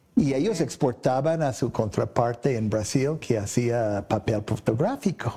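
With an English accent, this dark, mellow, somewhat breathy voice moves at a moderate pace with ordinary pitch variation and hardly any pauses. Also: man, medium pitch for a man. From US, Boston and Oklahoma. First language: English (speaking Spanish). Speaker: electronics sales representative. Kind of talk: interview. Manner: halting, many fillers and repeats.

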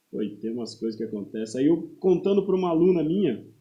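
A man talks in a normal speaking voice with ordinary pitch variation. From Paraná interior, Brazil. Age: 30s. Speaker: personal trainer and football referee. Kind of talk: casual interview chat. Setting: podcast studio, live stream.

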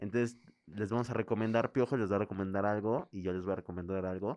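The speech runs at a fairly quick pace. The background stays quiet. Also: man. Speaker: podcast co-host. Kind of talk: casual chat. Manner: animated.

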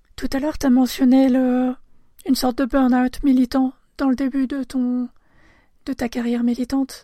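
On a very clean recording with a silent background, a woman with a high pitch and a dark, mellow tone speaks at a fairly slow pace in a monotone, flat intonation. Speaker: podcast host. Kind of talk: interview.

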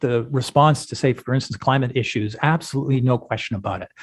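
A man with a Canadian accent speaks at a very fast pace and a medium pitch. His voice is somewhat breathy against a quiet background. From western Canada. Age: 60s. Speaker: professor and author. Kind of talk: podcast interview. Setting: remote call.

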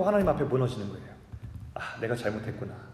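Noticeable background noise and audible room echo around a man's very widely swinging pitch. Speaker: pastor. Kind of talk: sermon.

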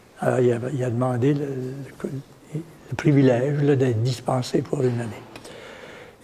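Audible room echo and noticeable background noise accompany a man as he speaks. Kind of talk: lecture. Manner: halting.

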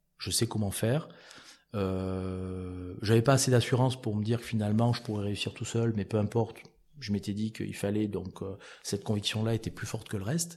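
This man talks at a moderate pace in a fairly low, somewhat breathy voice with a dark, mellow tone. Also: quiet background. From France, Cantal (Auvergne). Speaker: entrepreneur. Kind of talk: interview. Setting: at his café venue.

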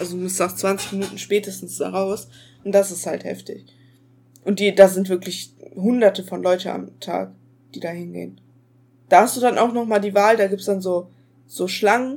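A woman of medium pitch speaks at a moderate pace with fairly even intonation, big swings in loudness, and long, frequent pauses. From Ruhr area, Germany. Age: young. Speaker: podcast co-host. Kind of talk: casual chat. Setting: video call.

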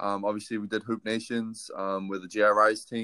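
Speaking fairly slowly in a New Zealand accent, a man with a medium pitch and a bright, sharp tone is heard in a very clean recording with a silent background. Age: 20s. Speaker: basketball player. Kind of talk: casual interview.

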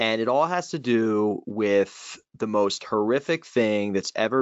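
A man's fairly low-pitched voice at a very slow pace, with lively intonation. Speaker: higher ed consultant, podcast co-host. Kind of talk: casual podcast chat.

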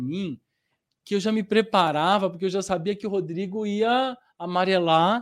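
A man at a high pitch and moderate pace, with ordinary pitch variation, in a very clean recording with a silent background. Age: 40s. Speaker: actor. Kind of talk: interview. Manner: animated.

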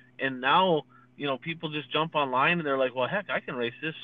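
A man speaks with an American accent. His pitch sits fairly high. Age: 40s. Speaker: dirt racing podcast co-host, former racer. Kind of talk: casual chat.

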